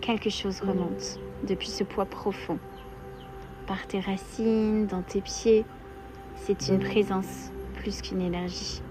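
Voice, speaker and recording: A soft-spoken woman talks at a very slow pace, leaving long, frequent pauses. Music plays in the background. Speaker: meditation guide. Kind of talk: guided meditation.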